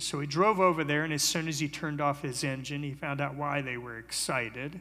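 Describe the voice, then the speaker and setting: In an American accent, a man with a fairly high pitch and a bright, sharp tone speaks at a moderate pace with fairly even intonation. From US, lives in California. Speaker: creation ministry speaker. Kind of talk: sermon-style presentation. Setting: church with audience. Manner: engaging, audience-interactive.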